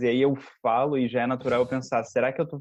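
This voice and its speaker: Keeping a monotone, flat intonation, a man talks at a fairly quick pace. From interior of São Paulo state, Limeira. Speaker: Portuguese teacher. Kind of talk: casual chat.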